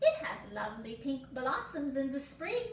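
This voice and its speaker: A woman's high-pitched, put-on character voice at a moderate pace, with slight echo and light background noise. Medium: read story. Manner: sugary, prim.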